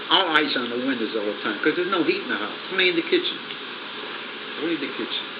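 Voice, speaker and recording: A man with an American accent and a fairly high pitch, very fast pace, lively intonation and long, frequent pauses, amid audible room echo and noticeable background noise. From northeastern Pennsylvania, Pittston. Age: old. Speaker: grandfather telling family stories. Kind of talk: casual storytelling interview. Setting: small apartment, handheld cassette recorder. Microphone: rough sound, poor cassette recorder, haphazard placement.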